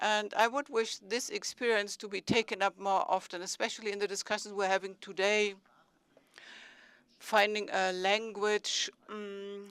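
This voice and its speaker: Speaking in a German accent at a moderate pace, a woman keeps a monotone, flat intonation at medium pitch, with a dry, close sound and no echo. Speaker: city mayor. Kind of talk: conference speech.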